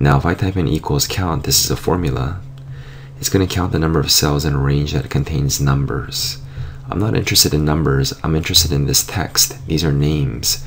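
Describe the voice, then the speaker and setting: A man talks at a fairly quick pace in a very deep, low voice with ordinary pitch variation. Noticeable background noise sits behind him. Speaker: software tutorial teacher. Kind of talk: screen tutorial.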